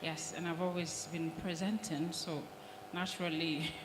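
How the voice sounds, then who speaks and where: Quiet and monotone, a woman speaks with flat intonation and a very deep, low pitch. Audible room echo and noticeable background noise fill the recording. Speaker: broadcast trainer and presenter. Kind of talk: audience question at a panel. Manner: quiet, hard to hear at first.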